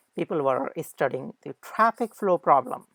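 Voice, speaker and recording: A woman with a non-native accent speaks at a fairly slow pace, with lively intonation and vocal fry. The sound is dry and close, with no echo. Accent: non-native English pronunciation. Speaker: lecturer. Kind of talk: lecture. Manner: halting, many fillers.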